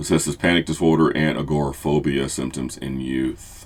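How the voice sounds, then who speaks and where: At a moderate pace, a man talks in a very deep, low pitch with vocal fry and fairly even intonation. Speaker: therapist. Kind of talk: tutorial. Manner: occasional stumbles and self-corrections.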